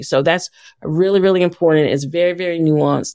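A woman with an American accent speaks in a very deep, low voice, the sound dry and close with no echo. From US South, Atlanta, Georgia. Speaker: nonprofit founder and former journalist. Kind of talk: interview.

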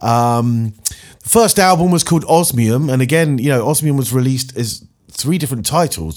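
Moving at a moderate pace, a man has an unremarkable speaking voice at medium pitch with lively intonation. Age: 40s. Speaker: radio DJ. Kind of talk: radio show presenting. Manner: casual with frequent fillers.

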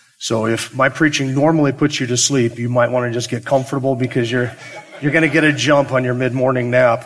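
The speech comes at a fairly quick pace with monotone, flat intonation. Noticeable background noise runs throughout. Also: man, medium pitch for a man. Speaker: pastor. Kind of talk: sermon. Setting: church. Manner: subdued.

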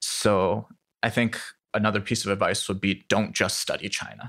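Over a very clean recording with a silent background, a man with an American accent speaks at a fairly quick pace in a fairly low pitch with vocal fry. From US Midwest, Iowa City. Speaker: AI policy researcher. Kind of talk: interview conversation. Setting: conference venue.

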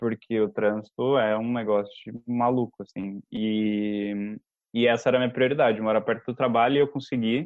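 The man's pitch sits at a medium level. He speaks at a moderate pace with a monotone, flat intonation. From interior of São Paulo state, Brazil (Limeira). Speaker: engineer and language podcast team member. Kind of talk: casual interview chat.

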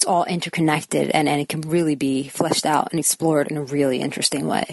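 Over noticeable background noise, a woman talks in a very deep, low voice with flat, monotone intonation. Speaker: actress. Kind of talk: casual chat.

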